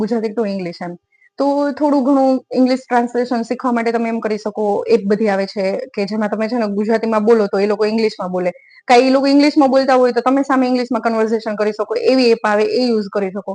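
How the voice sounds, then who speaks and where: A woman speaks with an unremarkable speaking voice at a fairly high pitch. Her intonation stays fairly even. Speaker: exam-prep YouTuber. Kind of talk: study tips talk to camera. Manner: conversational.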